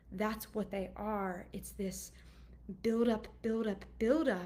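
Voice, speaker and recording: Delivered at a fairly slow pace, a normal speaking voice keeps a fairly even intonation. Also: woman. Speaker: anxiety coach. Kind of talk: casual monologue. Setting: video call.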